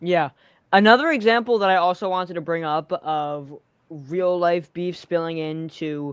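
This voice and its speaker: At a fairly slow pace, the speech comes through on a very clean recording with a silent background. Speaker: podcast host, wrestling fan. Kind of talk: casual livestream hosting.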